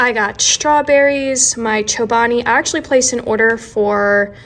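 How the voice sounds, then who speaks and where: A woman is the speaker here. Ordinary variation runs through her pitch. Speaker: lifestyle vlogger. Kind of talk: casual vlog chat. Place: kitchen. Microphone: phone near.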